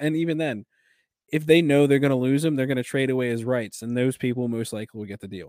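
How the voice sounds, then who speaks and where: In a very clean recording with a silent background, a man speaks at a medium pitch. His tone is dark and mellow, with ordinary pitch variation. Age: 20s. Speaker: hockey podcast co-host. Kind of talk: casual chat.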